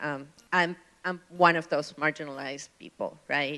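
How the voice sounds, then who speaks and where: A woman with a very deep, low pitch and a bright, sharp tone talks at a fairly slow pace with fairly even intonation. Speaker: city council candidate. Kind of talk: town hall candidate answer. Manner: soft-spoken.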